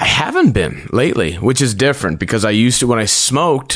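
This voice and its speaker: A man's normal speaking voice, ordinary pitch variation, fairly quick pace. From Prince Edward Island, Canada. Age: 30s. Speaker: stand-up comedian. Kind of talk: casual chat.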